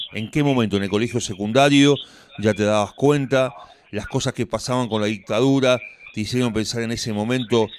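A man speaks at a medium pitch with a Rioplatense accent, at a fairly quick pace. His intonation stays fairly even over noticeable background noise. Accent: Argentine Rioplatense Spanish. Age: 50s. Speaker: radio host. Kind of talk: radio interview. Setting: radio studio.

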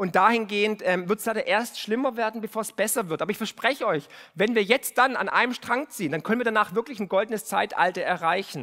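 Raised and projected, a man's high-pitched voice has a bright, sharp tone and an animated delivery, racing at a very fast pace with hardly any pauses and ordinary pitch variation. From Remstal, Swabia, southern Germany. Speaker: podcast host and finance author. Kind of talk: speech to a live audience. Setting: stage with audience.

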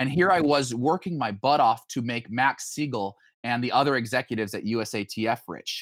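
In a plain, everyday voice with an American accent, a man talks at a fairly quick pace with ordinary pitch variation on a very clean recording with a silent background. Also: medium pitch for a man. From Idaho (Boise). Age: 30s. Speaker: former Olympic runner and entrepreneur. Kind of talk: interview chat.

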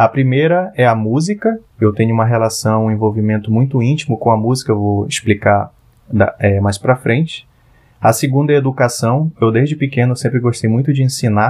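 A man's medium pitch at a fairly quick pace, with ordinary pitch variation and very even loudness over a quiet background. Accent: Amazonas. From Parintins, Amazonas, Brazil. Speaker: product designer. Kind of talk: interview.

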